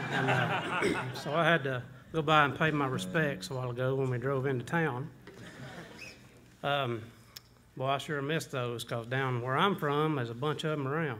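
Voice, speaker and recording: A man with a Southern US accent speaks at a moderate pace, pausing long and often. His pitch is fairly high with ordinary variation, and the room echo is audible. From Georgia, US South. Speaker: bluegrass bandleader. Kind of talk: stage banter. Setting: stage with audience. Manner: folksy, joking.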